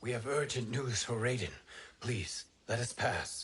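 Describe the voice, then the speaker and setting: A man uses a put-on character voice with a medium pitch. His tone is calm and his pace moderate. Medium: video game. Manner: calm, dignified.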